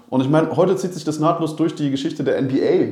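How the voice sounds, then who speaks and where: Man talking at a very fast pace amid noticeable background noise and audible room echo. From Berlin. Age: 30s. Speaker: basketball club manager. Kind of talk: casual chat.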